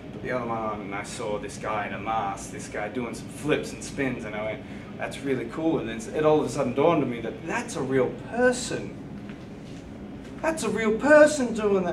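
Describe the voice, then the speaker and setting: Amid noticeable background noise and audible room echo, a man with an Australian accent speaks at a moderate pace with very wide pitch swings. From Australia, country Victoria near Melbourne. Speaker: professional wrestler. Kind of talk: interview.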